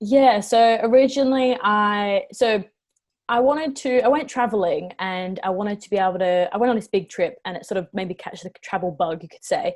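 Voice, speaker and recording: With an Australian accent, a woman speaks at a medium pitch and moderate pace, with ordinary pitch variation. Her loudness swings widely over a quiet background. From Western Australia (Perth). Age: 20s. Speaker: travel vlogger. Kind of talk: casual interview chat.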